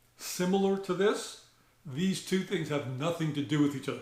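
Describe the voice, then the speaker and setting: Heard with audible room echo, a man with a high pitch speaks with ordinary pitch variation. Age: 60s. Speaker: shooting channel host. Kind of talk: tutorial. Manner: halting, many fillers.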